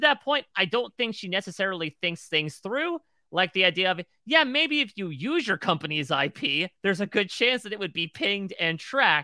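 A man with an American accent speaks in a raised, projected voice at a moderate pace, his high pitch swinging very widely and his tone bright and sharp, on a very clean recording with a silent background. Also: dry, close sound with no echo. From Connecticut. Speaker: podcast co-host. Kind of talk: casual chat.

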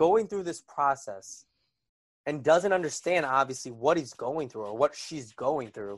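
An unremarkable speaking voice from a man with an American accent, lively intonation and a moderate pace over a quiet background. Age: 20s. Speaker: college student and former volunteer EMT. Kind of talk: casual chat.

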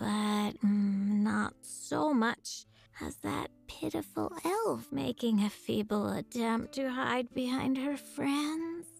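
A female-sounding voice performs a put-on character voice at medium pitch and a very slow pace, with hardly any pauses. Faint music plays in the background. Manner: cool, condescending.

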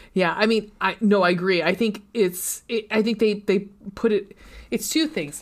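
A woman with a normal speaking voice talks at medium pitch and a moderate pace, with ordinary pitch variation. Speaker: podcast host. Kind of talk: casual chat. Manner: self-deprecating, joking.

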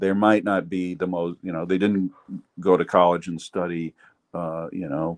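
Here a man speaks with an American accent and a very deep, low pitch. The sound is dry and close, with no echo. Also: moderate pace. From US Midwest, Ohio. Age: 70s. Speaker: retired sports columnist. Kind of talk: casual interview. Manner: animated, laughs often.

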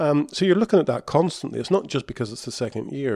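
A man talks at a fast pace, his tone dark and mellow with a slightly husky edge. His pitch varies in an ordinary way.

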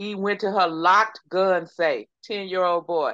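A woman speaks with a Texas accent. Her pitch sits fairly low. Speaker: podcast co-host. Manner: conversational storyteller.

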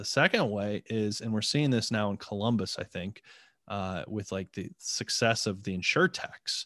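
With a Midwestern American accent, a man speaks at a fairly low pitch and moderate pace, his intonation fairly even. The sound is dry and close with no echo, over a quiet background. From northeastern Ohio. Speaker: nonprofit innovation group president. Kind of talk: casual interview.

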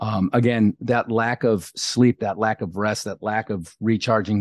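In a plain, everyday voice, a man speaks at a moderate pace and a fairly low pitch with fairly even intonation, the sound dry and close with no echo over a quiet background. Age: 50s. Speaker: leadership coach and retired navy diver. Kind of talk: interview.

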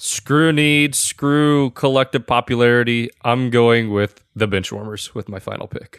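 A man with an ordinary speaking voice talks fairly slowly at medium pitch, with ordinary pitch variation and big swings in loudness. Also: dry, close sound with no echo. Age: 20s. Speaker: podcast producer. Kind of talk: casual chat.

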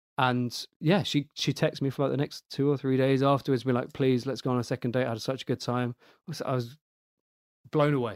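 The speech is very fast with fairly even intonation. The sound is dry and close with no echo, over a very clean, silent background. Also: man, medium pitch for a man. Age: 20s. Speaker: single dating guest, race engineer. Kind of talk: casual interview chat.

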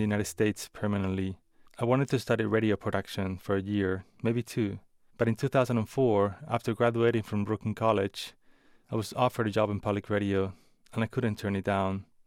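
A man speaks very fast with a Spanish accent, his pitch fairly low. The recording is very clean, with a silent background. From Spain. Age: 40s. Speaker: public radio producer. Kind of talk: personal narrative essay.

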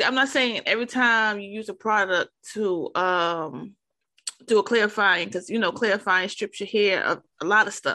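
A woman's fairly high, bright and sharp voice at a moderate pace, against a quiet background. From New York, Harlem. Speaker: podcast host. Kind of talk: casual interview.

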